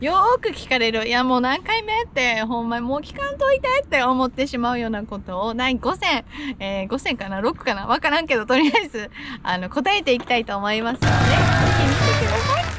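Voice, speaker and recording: With a Kansai accent, a woman talks at a fairly quick pace in a high pitch with lively intonation, and noticeable background noise can be heard. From Nepal, raised in Japan. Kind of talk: casual talk to camera.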